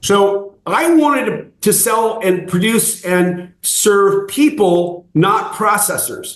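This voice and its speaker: A high-pitched man at a very slow pace, hardly any pauses, very even loudness and ordinary pitch variation. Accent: American. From California (Fresno). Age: 60s. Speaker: raw dairy farmer. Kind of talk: interview.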